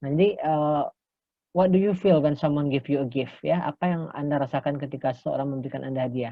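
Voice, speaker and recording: The man talks at a very fast pace. His pitch varies in an ordinary way. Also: fairly high pitch for a man. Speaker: English lecturer. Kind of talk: lecture. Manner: bilingual, frequent fillers.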